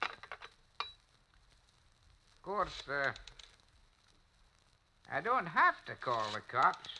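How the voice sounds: A man does a put-on character voice, fairly high in pitch with a bright, sharp tone. His pitch swings widely and his pace is very slow.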